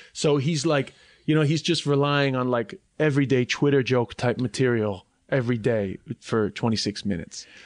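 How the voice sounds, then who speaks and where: In a New York accent, a man of medium pitch speaks at a moderate pace, with ordinary pitch variation and very even loudness. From New York (Flushing, Queens), schooled in Ireland. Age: 30s. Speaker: comedian. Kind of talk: casual chat.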